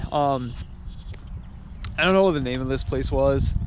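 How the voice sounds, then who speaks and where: A man speaks with ordinary pitch variation in a dry sound with no echo and light background noise. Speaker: explorer vlogger. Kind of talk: casual vlog chat. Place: open country. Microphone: phone near.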